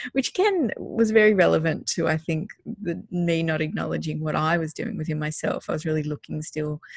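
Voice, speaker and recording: A woman with an Australian accent speaks fairly quickly at a very deep, low pitch, somewhat breathy and with ordinary pitch variation. The sound is dry and close, with no echo. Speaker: parenting podcast co-host. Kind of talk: casual chat.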